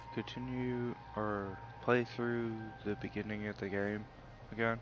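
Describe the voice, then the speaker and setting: Over background music, a man speaks quietly at a very slow pace with long, frequent pauses. His pitch is fairly low, with ordinary variation. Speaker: gamer streaming gameplay. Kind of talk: casual live-stream commentary. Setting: at home at night, others sleeping. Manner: quiet, kept down.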